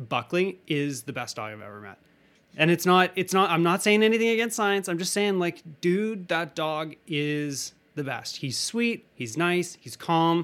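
Speaking with a Canadian accent, a man talks at a fairly slow pace. His voice sits high in pitch and his intonation is lively. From Western Canada. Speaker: student podcast host. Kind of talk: casual interview. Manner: animated.

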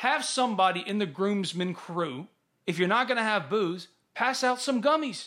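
In a Mississippi accent, a man projects a raised, high voice with a bright, sharp tone, very wide pitch swings and a moderate pace. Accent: US Southern (Mississippi). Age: 30s. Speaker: sports podcast host. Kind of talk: casual sports chat. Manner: animated.

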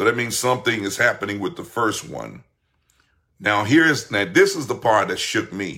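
A man speaks in an animated tone. His voice sounds bright and sharp. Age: 50s. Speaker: pastor. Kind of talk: livestream sermon.

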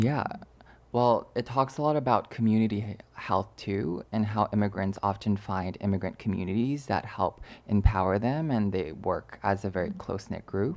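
A man with a Canadian accent talks at a moderate pace in a fairly low pitch with ordinary pitch variation and a normal speaking voice. The recording is very clean, with a silent background. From Canada, born in China. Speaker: podcast co-host. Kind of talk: casual chat. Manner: measured, articulate.

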